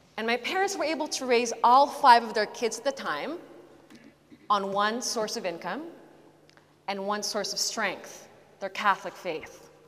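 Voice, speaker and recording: A woman speaks at a moderate pace and fairly high pitch with lively intonation. Long, frequent pauses break up her speech over noticeable background noise. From Philippines. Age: 30s. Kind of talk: testimony. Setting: church with live audience.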